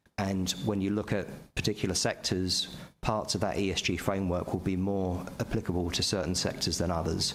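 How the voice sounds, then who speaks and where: A man with a British accent speaks at a fairly quick clip, his very deep, low voice kept at a very even loudness. His intonation stays monotone and flat throughout. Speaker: pension fund investment executive. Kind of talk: board meeting presentation. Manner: fast; halting, repetitive fillers.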